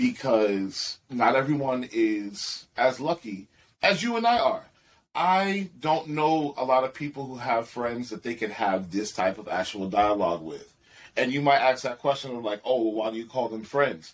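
A man with an ordinary speaking voice, medium pitch, lively intonation and a moderate pace, on a very clean recording with a silent background. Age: 40s. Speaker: podcast guest, dancer. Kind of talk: casual chat.

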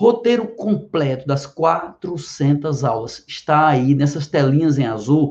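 A somewhat breathy man at a very slow pace, lively in intonation, with hardly any pauses. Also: fairly high pitch for a man. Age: 50s. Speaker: biology teacher and physician. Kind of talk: direct-to-camera explanation.

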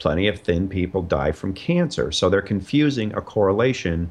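Lively intonation marks a plain, everyday voice moving at a moderate pace. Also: man. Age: 50s. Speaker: comedian and documentary filmmaker. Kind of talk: interview.

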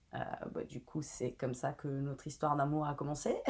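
A woman talks at a fairly quick pace in a very deep, low pitch. Her tone is dark and mellow. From Italy. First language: Italian (speaking French). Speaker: brand content and community manager. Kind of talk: interview. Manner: casual, with fillers.

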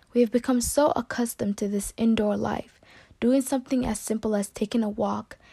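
A woman's somewhat breathy voice, dark and mellow in tone, sits at a fairly high pitch with fairly even intonation. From US West Coast, San Diego. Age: young. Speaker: college student. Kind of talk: class presentation speech; personal introduction.

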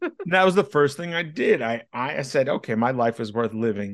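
With an American accent, a man talks in a plain, everyday voice at medium pitch with lively intonation. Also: quiet background. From New York City. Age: 30s. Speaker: online life coach. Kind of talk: interview conversation.

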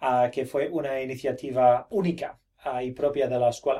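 This man speaks at a moderate pace in a fairly high pitch. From Australia, Brisbane. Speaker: teacher running a Spanish immersion school program. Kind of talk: interview. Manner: halting, many fillers and repetitions.

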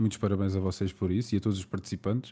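In a very clean recording with a silent background, a man speaks with a European Portuguese accent and a dark, mellow tone. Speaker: podcast host. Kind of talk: casual interview chat.

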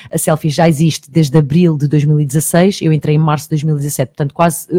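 Somewhat breathy and dark, mellow in tone, a woman speaks at a fairly quick pace in a very deep, low pitch with fairly even intonation, the sound dry and close with no echo. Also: hardly any pauses. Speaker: TV presenter and online magazine journalist. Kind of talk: radio interview. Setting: radio studio. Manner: talkative, fast.

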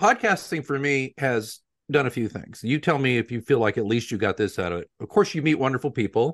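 A man with a plain, everyday voice talks at a fairly quick pace and medium pitch, his intonation lively, the sound dry and close with no echo over a quiet background. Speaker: podcast host. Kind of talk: casual interview chat.

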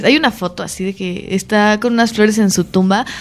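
Over noticeable background noise, a woman with a fairly high pitch talks at a very fast pace. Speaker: podcast co-host. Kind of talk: casual chat. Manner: animated.

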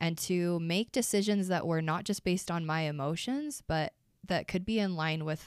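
A woman with an American accent, fairly low in pitch, ordinary pitch variation, moderate pace, on a very clean recording with a silent background. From Utah, US. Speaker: dance fitness instructor and writer. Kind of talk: personal testimony interview. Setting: studio.

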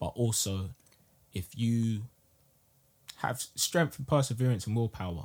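Speaking with a London accent, the voice is somewhat breathy, with ordinary pitch variation. The pace is fairly slow, with long, frequent pauses. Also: man, medium pitch for a man. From South London. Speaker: podcast host. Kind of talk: casual chat.

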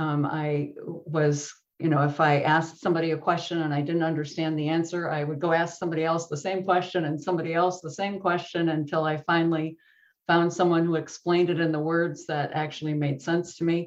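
A woman with a slight Midwestern accent speaks in a fairly low pitch. Her intonation is monotone and flat, and her pace fairly quick. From US Midwest, Wisconsin. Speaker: software developer and online course author. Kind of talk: casual interview chat.

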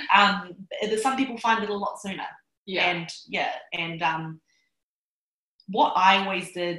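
A woman with a New Zealand accent speaks at a medium pitch. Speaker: success coach. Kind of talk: interview. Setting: Bali.

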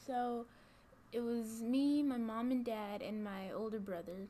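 A woman speaks very slowly in a somewhat breathy, dark and mellow voice of fairly high pitch, with ordinary pitch variation and an audible room echo. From Georgia, Gwinnett County. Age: young. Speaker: college student. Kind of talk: interview. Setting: office.

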